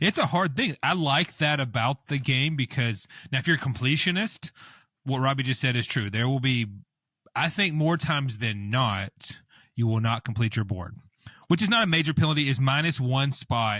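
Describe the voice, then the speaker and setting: A loud male voice with a bright, sharp tone and lively intonation, dry and close with no echo, over a quiet background. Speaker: board game podcast co-host. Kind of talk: casual chat. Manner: animated.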